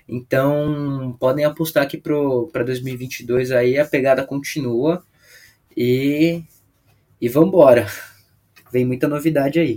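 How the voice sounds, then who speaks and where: Very slowly and with long, frequent pauses, a man speaks in a fairly high, dark, mellow voice with fairly even intonation. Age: 20s. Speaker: product specialist. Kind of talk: podcast interview.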